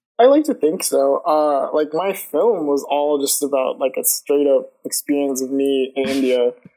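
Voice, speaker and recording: A man with an American accent speaks at a moderate pace with hardly any pauses. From US South, Georgia (Lawrenceville, near Atlanta). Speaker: animator. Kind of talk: casual interview. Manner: hesitant, filler-heavy (uh, like).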